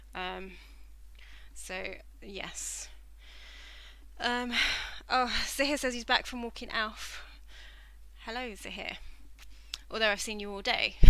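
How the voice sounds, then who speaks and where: A woman with a southern English accent, a fairly high pitch and a bright, sharp tone, at a very slow pace with long, frequent pauses, fairly even intonation, big swings in loudness and audible room echo. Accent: southern English, stands out locally. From southern England. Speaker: knitting livestreamer. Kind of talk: casual chat while knitting on a live stream. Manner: hesitant, lots of fillers. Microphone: using headset microphone after tech issues.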